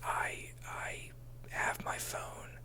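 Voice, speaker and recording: A man whispers in a calm tone. Noticeable background noise runs under his voice. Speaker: ASMR creator role-playing a therapist. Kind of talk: ASMR therapy roleplay, personal advice talk. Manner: whispered, calm, relaxing.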